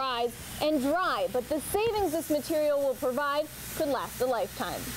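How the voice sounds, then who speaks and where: A woman speaks at a high pitch with very wide pitch swings. Her moderate pace is set against noticeable background noise. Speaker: TV news reporter. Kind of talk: TV news report.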